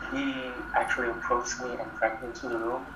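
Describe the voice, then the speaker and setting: A man talks at a moderate speed with noticeable noise in the background. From Indonesia. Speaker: podcast guest sharing ghost stories. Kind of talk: ghost story telling, tense and hushed recounting of personal encounters. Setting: video call. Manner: animated, vivid first-person narration with building suspense.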